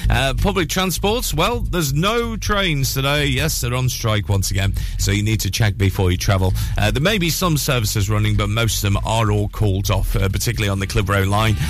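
Fairly quick delivery amid noticeable background noise. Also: man. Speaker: radio breakfast show host. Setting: radio studio, live broadcast. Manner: animated, chatty, warm, with frequent 'uh' fillers.

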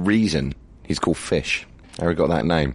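A man with a very deep, low pitch speaks at a fairly quick pace with lively intonation and vocal fry. The background is quiet. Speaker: radio host. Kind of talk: radio DJ links. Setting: radio studio. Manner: casual.

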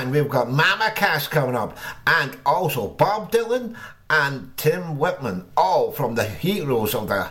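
Against noticeable background noise, a man with a fairly high pitch speaks at a fairly slow pace with lively intonation. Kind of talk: radio DJ patter. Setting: radio studio broadcast. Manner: cheery, jokey showman banter.

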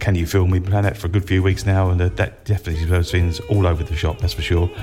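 A relaxed, enthusiastic tone comes through over music playing in the background. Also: man. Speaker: radio DJ. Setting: internet radio studio. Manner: relaxed, chatty, enthusiastic, with frequent 'uh' fillers; gushing praise for records, e.g. 'absolute killer cut'.

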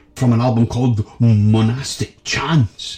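A man's dark, mellow, somewhat breathy voice in a Scottish accent, theatrical in tone, at a fairly slow pace. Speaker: radio host. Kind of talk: community radio DJ patter introducing classical tracks between pieces. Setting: studio. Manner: theatrical, florid and jovial, with flowery phrases and gushing repeated thank-yous.

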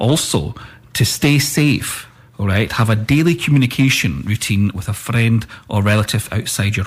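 Here a man talks at a moderate pace with fairly low pitch and ordinary pitch variation. Noticeable background noise runs underneath.

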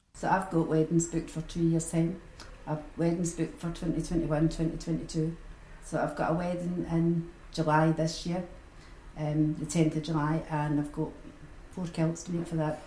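Delivered at a moderate pace, the speech comes in a Glaswegian accent with flat, monotone intonation. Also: woman. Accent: Glaswegian Scottish. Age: 60s. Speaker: retired sewing and knitting teacher. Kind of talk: interview.

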